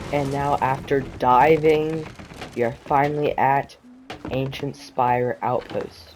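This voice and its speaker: The voice is shaky and moves at a very slow pace. Noticeable background noise runs underneath. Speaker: gaming video creator. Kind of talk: gameplay commentary.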